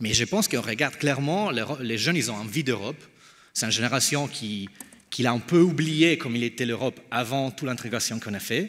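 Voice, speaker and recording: With an Italian accent, a man talks at a fairly quick pace in a medium pitch with ordinary pitch variation. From Italy. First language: Italian (speaking French). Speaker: think tank founder. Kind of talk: panel discussion. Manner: halting.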